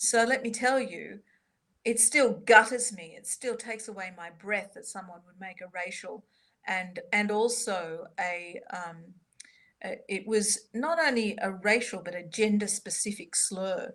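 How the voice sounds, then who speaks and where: The speaker has an Australian accent and a fairly slow pace. Pitch varies in an ordinary way, while loudness swings widely. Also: woman, fairly high pitch for a woman. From Australia, Sydney. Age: 50s. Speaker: soprano and composer. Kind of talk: interview.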